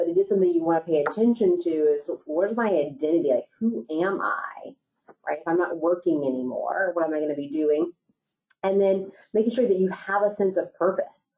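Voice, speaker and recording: A woman's normal speaking voice, fairly low in pitch, with ordinary pitch variation and a fairly quick pace. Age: 40s. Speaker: financial advisor. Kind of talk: webinar discussion.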